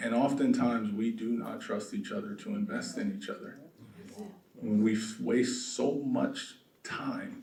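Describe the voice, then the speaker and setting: In an American accent, a soft-spoken man talks at a fairly slow pace, with audible room echo. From South Los Angeles. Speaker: real estate developer. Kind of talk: conference talk.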